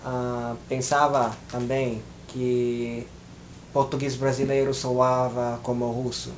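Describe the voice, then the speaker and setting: Noticeable background noise and audible room echo surround a man's medium-pitched voice. He speaks very slowly, with monotone, flat intonation. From Philippines. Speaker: language learner vlogger. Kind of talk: casual monologue vlog. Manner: hesitant, many filler sounds.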